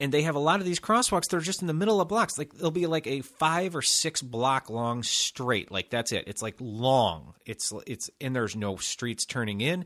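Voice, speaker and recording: A man with an American accent speaks at a moderate pace with hardly any pauses, his fairly high voice swinging very widely in pitch. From Chicago, US. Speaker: podcast host. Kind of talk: casual chat. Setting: studio.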